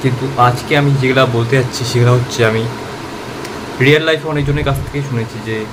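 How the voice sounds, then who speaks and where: A man speaks in a monotone, flat intonation. There is noticeable background noise. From Balurghat, West Bengal, India. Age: young. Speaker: college student. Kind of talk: casual self-improvement tips to camera.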